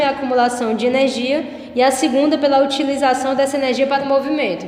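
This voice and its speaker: Background noise is noticeable. Room echo can be heard too. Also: woman. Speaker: philosophy teacher. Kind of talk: lecture.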